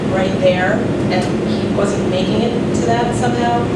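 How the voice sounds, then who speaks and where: Loud background noise and audible room echo around a woman speaking at a moderate pace. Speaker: panelist. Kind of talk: panel discussion answer. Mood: reflective. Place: hall.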